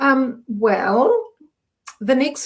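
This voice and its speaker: A woman speaks in a New Zealand accent. Her pitch varies in an ordinary way. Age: 60s. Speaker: menopause coach. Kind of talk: interview. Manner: halting.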